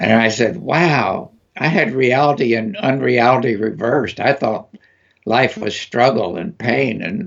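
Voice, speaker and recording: With vocal fry and lively intonation, a man talks at a fairly slow pace. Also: medium pitch for a man. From US, West Texas. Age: 80s+. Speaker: energy healing practitioner. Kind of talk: interview. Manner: halting, many fillers.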